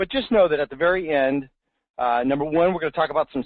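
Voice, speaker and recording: A very fast pace marks this clip. It is a man doing the talking. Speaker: real estate marketing webinar host. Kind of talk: webinar presentation. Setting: online webinar. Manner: animated.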